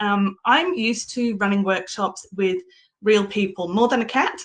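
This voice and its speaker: This woman's voice is fairly high-pitched, bright and sharp, moving at a moderate pace. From England. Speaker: workplace coach and business owner. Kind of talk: live-streamed talk. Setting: live stream from home with cat. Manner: casual, with frequent ums.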